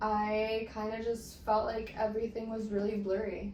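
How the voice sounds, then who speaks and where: Talking at a fairly slow pace, a woman with a fairly high pitch is heard over noticeable background noise, with audible room echo. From Mexico. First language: Spanish. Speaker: guest sharing personal story. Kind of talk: casual interview.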